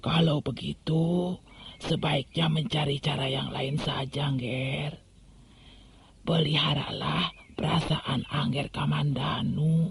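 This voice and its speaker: Using a put-on character voice, a woman rasps out her lines at a fairly slow pace, very deep and low in pitch, with fairly even intonation. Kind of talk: radio drama. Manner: calm, gentle.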